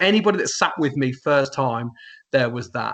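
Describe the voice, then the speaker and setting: Fairly quick speech with an English Midlands accent. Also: man. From England, Northamptonshire. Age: 40s. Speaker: wrestling commentator. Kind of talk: casual interview chat. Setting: face to face interview. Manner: fast.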